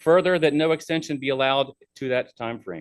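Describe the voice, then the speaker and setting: Speaking at a very fast pace, the man has a fairly high pitch. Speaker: public hearing speaker. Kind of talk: public comment statement. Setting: public meeting.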